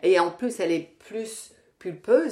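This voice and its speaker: Woman's dark, mellow voice at a fairly slow pace. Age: 60s. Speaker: Pilates teacher and fitness coach. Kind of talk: casual interview. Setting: at the guest's home. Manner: hesitant, many repetitions.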